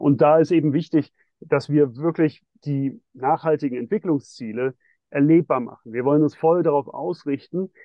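A fairly high-pitched male voice with ordinary pitch variation. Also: moderate pace. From Switzerland (Geneva). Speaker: bank co-founder and sustainable investment executive. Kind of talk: interview. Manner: halting, many fillers.

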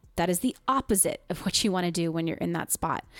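A woman speaks at a fairly quick pace with lively intonation in a normal speaking voice. The recording is very clean, with a silent background and a dry, close sound with no echo. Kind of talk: casual conversational podcast discussion.

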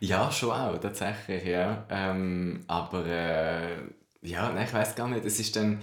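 A man's very deep, low voice at a very slow pace with fairly even intonation, amid audible room echo and noticeable background noise. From Switzerland. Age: 20s. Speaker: drag queen and history graduate. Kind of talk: casual interview chat.

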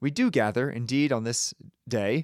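A man's ordinary speaking voice at a medium pitch with lively intonation, on a very clean recording with a silent background. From Connecticut, US. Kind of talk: homily at a first Mass. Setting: church, preaching to a congregation. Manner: solemn, rhetorical, building tension before a reveal; earnest, urgent, exhorting.

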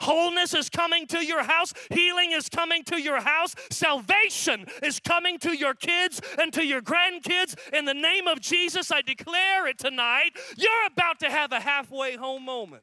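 An extremely high-pitched man speaks in a raised, projected voice with an animated tone and hardly any pauses. Noticeable background noise is present. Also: ordinary pitch variation, moderate pace. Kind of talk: sermon, preacher in full flow. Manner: animated, fervent, declaring with rising intensity; repetitive, building rhythm with short parallel phrases.

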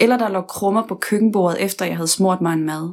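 A woman with an unremarkable speaking voice talks at a moderate pace, her pitch medium with ordinary variation. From West Jutland, Denmark. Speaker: podcast host. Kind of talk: personal narration.

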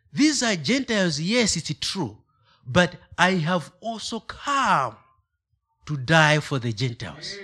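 With a Malawian accent, a man speaks at a very slow pace in a high pitch and bright, sharp tone, with very wide pitch swings, on a very clean recording with a silent background. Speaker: guest preacher. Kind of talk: sermon. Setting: church. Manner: halting, hesitant.

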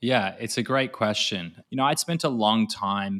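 An Australian-accented man at a fairly low pitch with ordinary pitch variation, in a very clean, dry, close recording with a silent background and no echo. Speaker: e-commerce consultant. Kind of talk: interview conversation about business systems.

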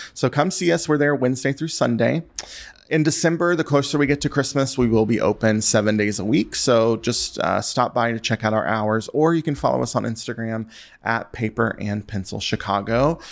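In an unremarkable speaking voice, a man with an American accent talks at a fairly quick pace and medium pitch with ordinary pitch variation, in a very clean recording with a silent background. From US South, western North Carolina. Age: 30s. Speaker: stationery shop owner. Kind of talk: casual interview.

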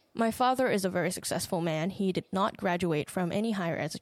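Speaking at a fairly quick pace with a Thai accent, a woman at medium pitch shows ordinary pitch variation in a dry, close sound with no echo, on a very clean recording with a silent background. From Thailand. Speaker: podcast host. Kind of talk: personal monologue.

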